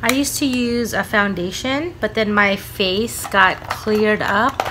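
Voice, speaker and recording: A woman speaks at a fairly slow pace with ordinary pitch variation over music in the background. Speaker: beauty vlogger. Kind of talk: casual vlog chat. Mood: relaxed and friendly. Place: home room. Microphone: phone near.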